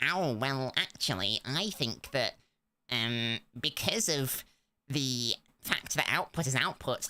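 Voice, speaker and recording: This put-on character voice is whiny and nasal, pitched low to middle. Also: fairly slow pace. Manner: pompous, whiny.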